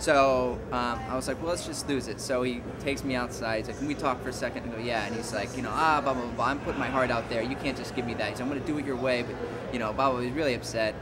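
A man with an American accent talks at a very fast pace and a medium pitch with fairly even intonation, amid noticeable background noise and audible room echo. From San Antonio, Texas. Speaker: film director. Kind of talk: interview anecdote.

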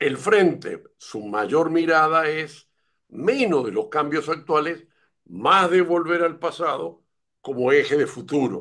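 A man talks at a very slow pace in a fairly high pitch with a bright, sharp tone. His intonation is lively, and the background is quiet. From Uruguay. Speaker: education expert, pedagogue. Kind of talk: interview conversation. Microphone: video call.

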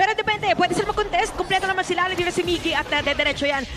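A man speaks in a raised, projected voice with an animated tone. His pitch varies in an ordinary way over noticeable background noise. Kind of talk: esports live commentary. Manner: animated, fast-paced Taglish play-by-play.

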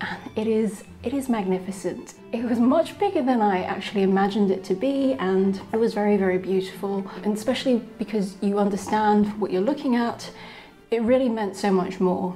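A woman with a medium pitch talks at a moderate pace, her pitch varying in an ordinary way, while noticeable background noise continues behind her. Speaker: travel vlogger. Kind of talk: travel vlog narration.

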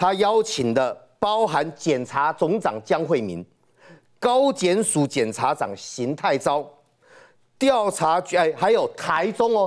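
A man's high voice at a very slow pace, with very wide pitch swings over a quiet background. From Taiwan. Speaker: guest. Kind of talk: political talk show debate. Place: studio. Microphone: lapel.

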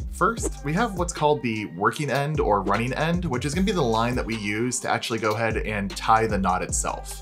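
Over clear music in the background, a man talks at a fairly quick pace with hardly any pauses. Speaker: scuba instructor. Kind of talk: tutorial. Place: home room.

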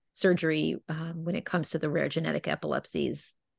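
Against a quiet background, a woman's very deep, low voice sounds dry, with no echo. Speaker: webinar host. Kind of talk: webinar introduction. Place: home room. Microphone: video call.

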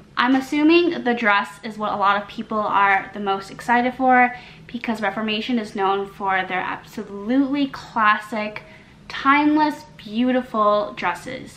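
Moderately paced speech from a woman, her pitch fairly high and its variation ordinary. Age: 20s. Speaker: lifestyle YouTuber and fashion writer; lifestyle YouTuber. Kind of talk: try-on haul review. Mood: cheerful, friendly. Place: home room.

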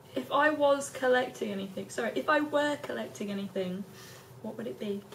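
A woman talks at a fairly quick pace with very wide pitch swings and big swings in loudness, over light background noise. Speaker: vlogger asking tag questions. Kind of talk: casual talk to camera. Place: home room. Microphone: phone near.

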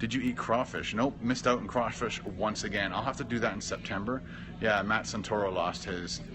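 Over noticeable background noise, a man talks at a fairly quick pace in a fairly low pitch with ordinary pitch variation. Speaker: vlogger live streaming. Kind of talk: casual live stream chat reading comments. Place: hall. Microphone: phone near.

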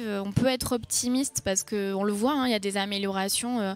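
Faint music plays in the background as a woman talks at a moderate pace with ordinary pitch variation.

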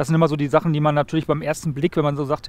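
There is light background noise. The sound is dry, with no echo. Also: man. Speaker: presenter. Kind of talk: interview and commentary. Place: open country. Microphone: headset.

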